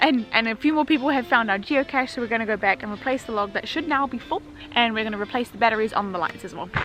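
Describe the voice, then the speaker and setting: A woman talks at a very fast pace and a fairly high pitch, her loudness swinging widely. Noticeable noise sits in the background. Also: ordinary pitch variation. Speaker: geocaching vlogger. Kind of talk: casual talk to camera.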